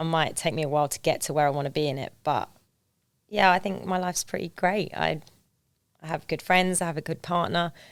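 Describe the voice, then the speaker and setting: A woman with an English accent talks at a fairly quick pace and fairly low pitch. Her intonation stays fairly even. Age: 30s. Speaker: Paralympic skier turned police officer and financial planner. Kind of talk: podcast interview.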